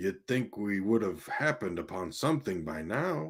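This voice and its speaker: A raspy, put-on character voice speaks at a moderate pace. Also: man. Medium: read story. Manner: eager, lively.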